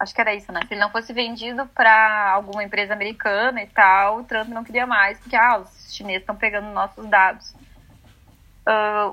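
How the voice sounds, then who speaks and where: The recording is very clean with a silent background. A normal speaking voice talks at a moderate pace. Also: woman. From southern Brazil (Rio Grande do Sul). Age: 20s. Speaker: astrologer. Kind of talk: casual chat.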